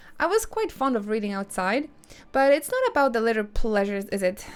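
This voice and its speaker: The speaker has a Polish accent. The pitch swings very widely. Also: woman. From Poland. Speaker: video game streamer. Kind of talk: live gameplay commentary with reading of game dialogue.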